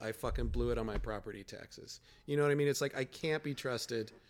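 A man in a Chicago accent talks at a very fast pace in a medium pitch. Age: 40s. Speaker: comedian podcast co-host. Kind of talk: casual chat.

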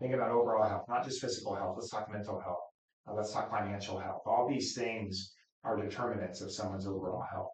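A man with an American accent speaks at a very fast pace, his pitch fairly low and its variation ordinary. His voice is somewhat breathy. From Wichita, Kansas. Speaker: county commissioner. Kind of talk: interview.

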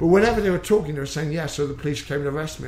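This man's fairly high voice moves with ordinary pitch variation, and audible room echo surrounds it. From England, Exeter, Devon. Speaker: MMA coach, former policeman. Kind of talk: interview. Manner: halting, repeats words.

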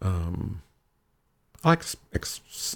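A man with an American accent speaks with vocal fry. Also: very clean recording, silent background. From Michigan, US Midwest. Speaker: leather community titleholder. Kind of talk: casual chat. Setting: home dungeon space.

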